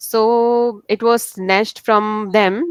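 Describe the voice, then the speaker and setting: A woman speaks against a quiet background. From India, Uttarakhand. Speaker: YouTuber and English learner. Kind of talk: casual discussion in a lesson.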